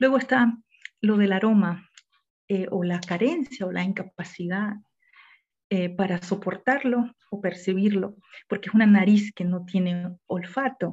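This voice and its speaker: Somewhat breathy and pitched in the medium range, a woman speaks with long, frequent pauses. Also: ordinary pitch variation, fairly slow pace. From Panama. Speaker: poet and academic researcher. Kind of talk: online literary discussion.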